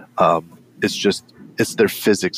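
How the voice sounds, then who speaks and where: Noticeable background noise surrounds a man's voice, which has a dry, close sound with no echo. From Canada. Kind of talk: casual chat about a game.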